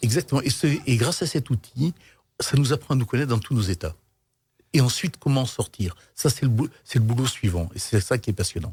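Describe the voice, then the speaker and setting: At a fairly quick pace, a somewhat breathy man with a medium pitch speaks with lively intonation and big swings in loudness. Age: 60s. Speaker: business leader. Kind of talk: interview.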